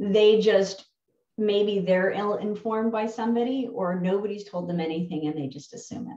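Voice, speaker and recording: With a New Jersey accent, a woman speaks at a medium pitch and moderate pace with ordinary pitch variation. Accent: New Jersey American. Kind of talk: interview. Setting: video call.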